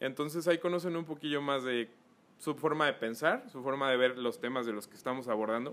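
This man has a Mexican accent and a medium pitch. He talks at a fairly quick pace with ordinary pitch variation. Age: 20s. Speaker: photographer and influencer manager. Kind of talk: casual chat.

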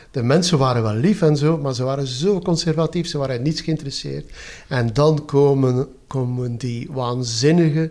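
This man's voice sits fairly high. Its pitch varies in an ordinary way. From West Flanders, Belgium. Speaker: retired government manager. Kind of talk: casual interview. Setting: at home. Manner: animated.

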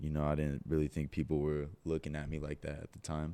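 A man speaks in a Californian accent. His pitch is very deep and low. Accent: Californian American. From Southern California, Orange County. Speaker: professional boxer. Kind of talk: casual chat.

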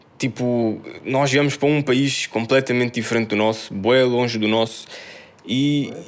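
Over noticeable background noise, a man with a European Portuguese accent talks at a moderate pace and medium pitch, with fairly even intonation and very even loudness. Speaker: podcast co-host. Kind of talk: casual chat.

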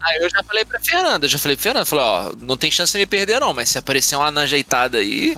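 A man at a very fast pace with hardly any pauses, very even loudness, a dry, close sound with no echo, and noticeable background noise. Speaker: podcast co-host. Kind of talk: casual chat.

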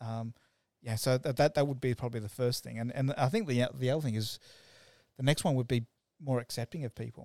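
In an Australian accent, a man speaks at a very fast pace with long, frequent pauses, a medium pitch and fairly even intonation. The sound is dry and close with no echo, on a very clean recording with a silent background. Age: 40s. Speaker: web developer. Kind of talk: casual chat. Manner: halting.

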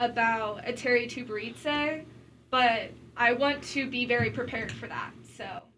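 A high-pitched woman's voice with fairly even intonation. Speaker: sports broadcaster and student. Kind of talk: casual chat.

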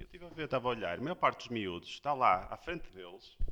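A man speaks at a moderate pace. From Porto, northern Portugal. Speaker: surf instructor. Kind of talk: casual chat.

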